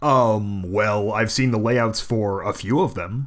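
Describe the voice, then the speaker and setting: Putting on a character voice, a man speaks at medium pitch and a fairly slow pace. The recording is very clean, with a silent background. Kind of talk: audio drama, radio interviewer.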